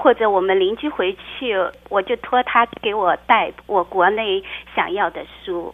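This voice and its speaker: At a fairly slow pace, a woman speaks in a normal speaking voice, fairly high in pitch, with ordinary pitch variation. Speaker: blogger and childcare worker. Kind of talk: interview.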